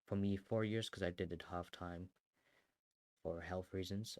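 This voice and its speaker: A man speaks with a German accent in a very deep, low voice. The sound is dry and close with no echo, and his intonation is fairly even. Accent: German accent, strength unknown. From Germany. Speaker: artist and content creator. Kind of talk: casual chat. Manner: casual, rambling with fillers.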